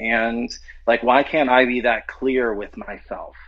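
In an American accent, a man speaks at a fairly slow pace with medium pitch. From US South, New Orleans. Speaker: actor and TV writer-director. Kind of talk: casual interview. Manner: halting, many false starts.

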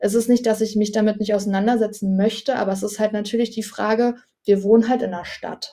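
Speaking very fast, a woman uses a fairly high pitch and a dark, mellow tone, her intonation monotone and flat. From Potsdam, eastern Germany. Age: 20s. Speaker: dog owner. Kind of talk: casual interview.

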